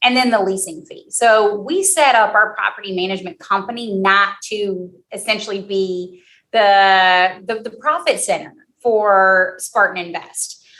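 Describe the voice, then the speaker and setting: With an American accent, a woman with a medium-pitched voice speaks fairly slowly in a bright, sharp tone, using ordinary pitch variation and big swings in loudness. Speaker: real estate company executive. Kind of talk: interview answer.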